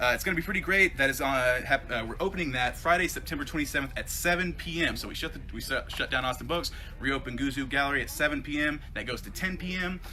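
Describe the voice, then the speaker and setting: Very fast, animated speech with hardly any pauses, ordinary pitch variation and noticeable background noise. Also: man, fairly high pitch for a man. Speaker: comic shop employee, video host. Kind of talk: casual promotional talk to camera. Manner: animated, many fillers.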